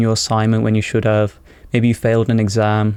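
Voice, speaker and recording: A man's dark, mellow tone at a fairly quick pace. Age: 20s. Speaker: self-improvement vlogger. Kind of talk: unscripted monologue. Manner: rambling; casual.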